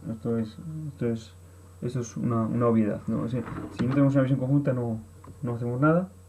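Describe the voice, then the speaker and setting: Noticeable background noise behind a man's medium-pitched voice, very fast yet with long, frequent pauses and ordinary pitch variation. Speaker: workshop trainer. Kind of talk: online course presentation. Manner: poorly articulated, halting.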